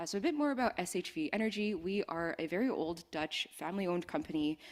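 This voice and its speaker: Lively intonation runs through this very fast delivery. The speaker has a Canadian accent. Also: woman, fairly low pitch for a woman. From Western Canada. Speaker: energy industry speaker. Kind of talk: conference presentation. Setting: conference stage with microphone. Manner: casual, conversational.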